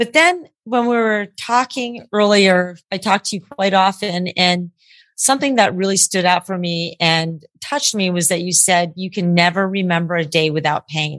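Medium pitch from a woman, an unremarkable speaking voice with ordinary pitch variation at a moderate pace. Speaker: podcast host. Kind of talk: casual podcast interview. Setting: remote recording from California. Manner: jokey, laughs often.

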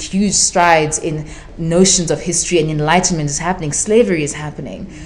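Speaking at a fairly quick pace, a woman with a fairly low pitch keeps her intonation fairly even against noticeable background noise. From South Africa, Durban (Zimbabwean-born). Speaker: writer. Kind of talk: casual chat. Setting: live event with audience.

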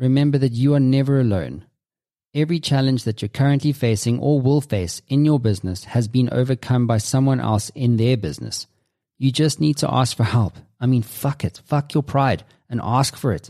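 On a very clean recording with a silent background, a man in a normal speaking voice keeps very even loudness, a moderate pace, medium pitch and ordinary pitch variation. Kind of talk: audiobook narration. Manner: measured, earnest read-aloud delivery.

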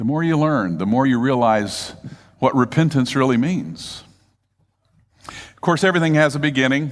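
A man's fairly high voice with lively intonation, a moderate pace, long, frequent pauses and audible room echo. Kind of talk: sermon.

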